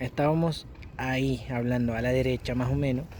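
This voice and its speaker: A man's dark, mellow, somewhat breathy voice at a medium pitch and a fairly slow pace. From Netherlands, Turkish family. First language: Turkish or Dutch (speaking Spanish). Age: 20s. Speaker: Spanish learner vlogger. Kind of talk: personal story vlog. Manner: casual, conversational.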